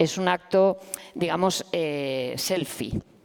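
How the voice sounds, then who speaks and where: With lively intonation, a woman speaks in a normal speaking voice at medium pitch. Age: 50s. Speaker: professor and activist. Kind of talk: panel discussion. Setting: stage with audience.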